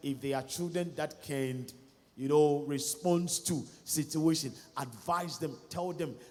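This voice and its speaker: With a Ghanaian accent, a man speaks at a fairly slow pace and fairly high pitch, amid noticeable background noise and audible room echo. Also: fairly even intonation. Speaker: pastor. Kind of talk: sermon. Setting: church.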